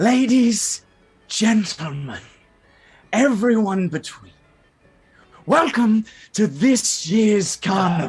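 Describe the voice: With music in the background, a man uses a raspy, high-pitched put-on character voice. He speaks at a very slow pace with long, frequent pauses.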